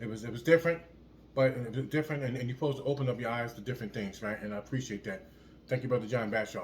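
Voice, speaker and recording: There is noticeable background noise as a man speaks at a very fast pace. His medium pitch shows ordinary variation. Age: 60s. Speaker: fitness vlogger. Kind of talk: motivational casual talk to camera. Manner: repetitive, halting with word repeats; animated.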